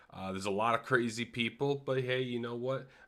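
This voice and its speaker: A man speaks loudly at a moderate pace, his bright, sharp tone and fairly even intonation captured on a very clean recording with a silent background. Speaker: gaming podcast host. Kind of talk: livestream podcast monologue. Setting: live stream, solo. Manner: halting, many fillers.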